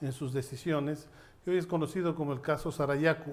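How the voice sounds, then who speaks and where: This man has a fairly high pitch and a plain, everyday voice. His intonation stays fairly even. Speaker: judge and human rights lawyer. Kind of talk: panel talk at a seminar.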